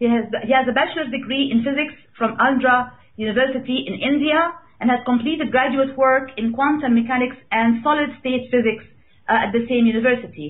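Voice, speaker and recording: Delivery is fairly quick, with fairly even intonation. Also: woman, high pitch for a woman. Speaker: radio show host. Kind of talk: host introduction. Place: studio.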